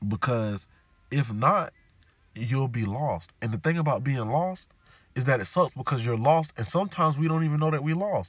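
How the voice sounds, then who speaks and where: Lively intonation and an animated tone mark this somewhat breathy man's voice at a moderate pace. The recording is very clean, with a silent background. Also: fairly high pitch for a man. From US South, Jacksonville, Florida. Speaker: podcast host. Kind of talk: solo monologue podcast.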